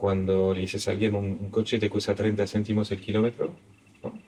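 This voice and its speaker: A man with a non-native accent talks at a fairly quick pace in a fairly low pitch. There is noticeable background noise. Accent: foreign accent in Spanish. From Belgium. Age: 50s. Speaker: investment firm founder. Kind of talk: interview. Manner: halting.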